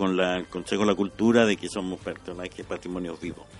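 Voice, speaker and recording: A man speaks with a very deep, low pitch. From Chile, La Serena (Coquimbo region). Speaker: street organ grinder. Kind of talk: radio interview. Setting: radio studio. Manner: halting, many fillers.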